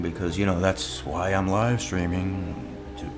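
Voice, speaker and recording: Amid music in the background and audible room echo, a man with a fairly low pitch talks at a moderate pace. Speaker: live-streaming digital artist. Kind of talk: casual live stream chat. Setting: live stream at home desk. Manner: halting, many fillers and repeats.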